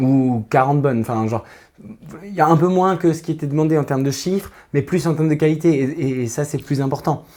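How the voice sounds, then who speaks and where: A man talks at a fairly quick pace in a dark, mellow tone with ordinary pitch variation. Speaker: tarot reader. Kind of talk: tarot reading to camera. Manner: fast; hesitant, many fillers.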